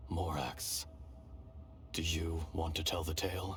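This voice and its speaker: A put-on character voice delivers the lines at a fairly slow pace. Clear background noise runs underneath. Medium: video game. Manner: grave, archaic phrasing.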